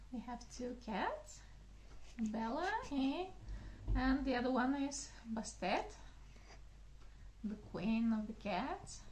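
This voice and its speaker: With a Bulgarian accent, a woman talks at a very slow pace with long, frequent pauses. Noticeable background noise and audible room echo fill the recording. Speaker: gardening channel host. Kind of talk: casual video talk. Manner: halting, many fillers.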